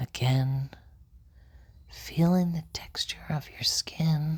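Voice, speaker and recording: The speaker is soft-spoken with a calm tone. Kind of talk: ASMR relaxation guide, guided fingertip-trailing session. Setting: ASMR session for sleep and relaxation. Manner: soft-spoken, slow, calm.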